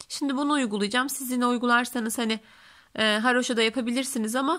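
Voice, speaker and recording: On a very clean recording with a silent background, a woman with a bright, sharp tone and high pitch speaks at a very fast pace with fairly even intonation. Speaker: knitting tutorial creator. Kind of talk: tutorial.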